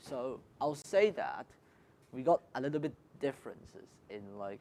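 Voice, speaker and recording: A man's fairly high, dark, mellow voice in a Cantonese accent, with lively intonation, big swings in loudness and a moderate pace. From Hong Kong. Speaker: student. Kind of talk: panel discussion.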